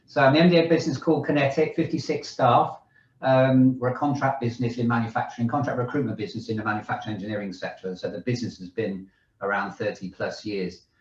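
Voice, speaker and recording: Somewhat breathy and medium-pitched, a man rattles along at a very fast pace with lively intonation. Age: 60s. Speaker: managing director of a recruitment business. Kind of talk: panel discussion.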